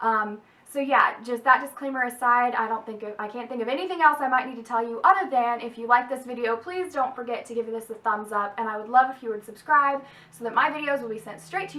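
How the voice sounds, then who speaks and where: Against noticeable background noise, a woman with a high pitch rushes at a very fast pace with hardly any pauses and big swings in loudness. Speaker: YouTuber and college student. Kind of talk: casual vlog advice. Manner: casual with many fillers.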